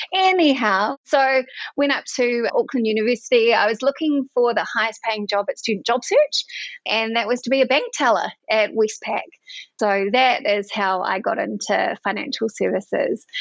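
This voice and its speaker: A woman's fairly high voice with a New Zealand accent and ordinary pitch variation. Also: moderate pace. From New Zealand, rural Bay of Plenty. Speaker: finance executive. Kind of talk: podcast interview.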